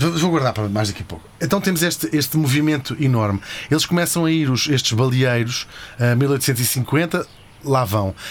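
A man talks with a European Portuguese accent at medium pitch. His pace is moderate and his intonation lively. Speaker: podcast host. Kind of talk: comedic history storytelling. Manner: animated.

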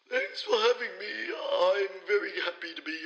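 Music in the background behind a man at a moderate pace. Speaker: professor. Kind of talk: interview.

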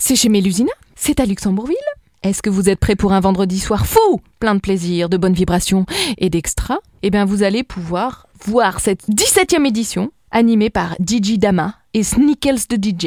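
A woman speaks at a medium pitch and a fairly slow pace in a somewhat breathy voice with a dark, mellow tone, recorded dry and close with no echo. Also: ordinary pitch variation. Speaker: radio host. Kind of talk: radio events segment. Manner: put-on sensual voice.

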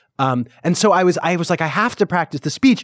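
Speaking at a very fast pace with an American accent and lively intonation, a man sounds dry and close, with no echo. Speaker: playwright. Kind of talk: casual interview chat.

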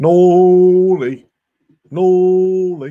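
A man's put-on character voice sits at a high pitch. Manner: braying.

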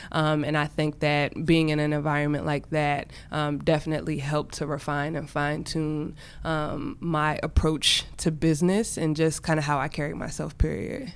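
Speaking at a moderate pace with an American accent, this woman has a very deep, low pitch and fairly even intonation. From Washington DC area, Prince George's County, Maryland. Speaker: entrepreneur and artist. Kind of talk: casual interview.

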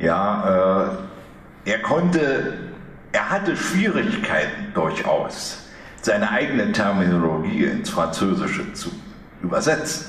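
There is audible room echo and noticeable background noise. A man speaks at a very slow pace with long, frequent pauses. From East Germany. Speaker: author and economic historian. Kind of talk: public book talk.

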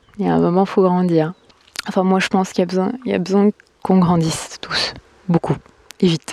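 Using monotone, flat intonation at a medium pitch, a woman speaks at a fairly quick pace broken by long, frequent pauses. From France. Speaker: podcaster. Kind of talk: casual monologue. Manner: halting.

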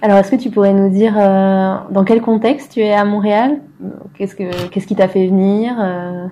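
At a moderate pace, a woman talks in a dark, mellow tone at medium pitch with fairly even intonation. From France; southwest France. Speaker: podcast host and interviewer. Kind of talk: casual interview. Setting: at the guest's apartment.

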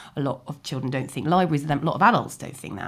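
On a very clean recording with a silent background, a woman speaks in a very deep, low pitch with ordinary pitch variation. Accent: southern English. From London (Chiswick). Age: 40s. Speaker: novelist. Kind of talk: interview. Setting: library.

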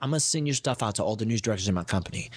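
On a very clean recording with a silent background, a man with an American accent talks at a very fast pace with lively intonation. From Baltimore, Maryland, US. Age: 20s. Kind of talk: casual interview. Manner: animated.

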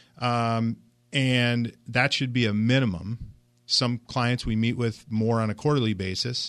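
This is an unremarkable speaking voice: a man at medium pitch with fairly even intonation and a fairly slow pace. The recording is very clean, with a silent background. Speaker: financial advisor. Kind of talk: radio talk show. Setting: radio studio.

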